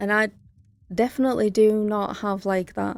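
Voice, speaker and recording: A woman speaks with a Northern English accent at a moderate pace, her pitch in the medium range and her intonation fairly even. The recording is very clean, with a silent background. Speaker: gaming streamer. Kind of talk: let's play commentary. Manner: casual, chatty.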